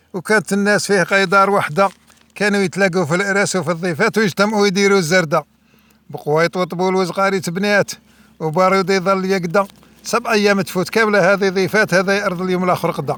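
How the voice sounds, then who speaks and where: Here a man speaks fairly quickly in a high voice. His loudness stays very even and his intonation fairly even. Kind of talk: poetry reading.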